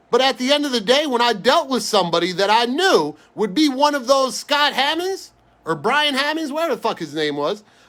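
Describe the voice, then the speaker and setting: An animated man with a New York accent talks at a fairly quick pace in an extremely high pitch, his bright, sharp tone sweeping through very wide pitch swings. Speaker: sports card breaker. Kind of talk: live stream card break chat. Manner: fast.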